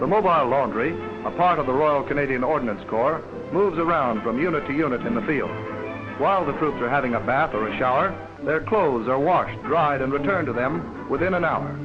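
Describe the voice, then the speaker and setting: Music plays in the background as a man speaks at a fairly high pitch. His tone is upbeat and his pace fairly quick. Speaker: newsreel narrator. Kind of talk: newsreel narration. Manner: brisk, upbeat.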